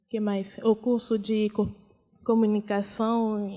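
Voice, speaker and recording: A woman speaks very slowly in a monotone with a fairly high pitch, a dark, mellow tone and a non-native accent, on a very clean recording with a silent background. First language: not Portuguese (speaking Portuguese). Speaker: refugee, panel speaker. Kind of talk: testimony. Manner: halting.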